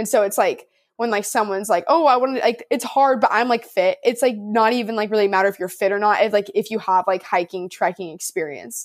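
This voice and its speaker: Animated, fairly quick speech in a Californian accent with ordinary pitch variation and hardly any pauses, in a very clean recording with a silent background. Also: woman, fairly high pitch for a woman. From Southern California, Orange County. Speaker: college athlete and hiking content creator. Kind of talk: casual interview chat. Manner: animated, frequent fillers like 'like' and 'um'.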